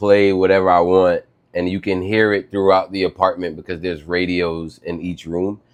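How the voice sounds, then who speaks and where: At a moderate pace, a man with an American accent speaks at a very deep, low pitch. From New York City. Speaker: retro artist and creative director. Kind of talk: casual chat. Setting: studio. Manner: animated.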